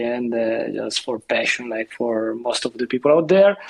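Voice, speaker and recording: A man with an Italian accent at a moderate pace, with ordinary pitch variation, amid noticeable background noise. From Italy. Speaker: seascape photographer. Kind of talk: casual chat.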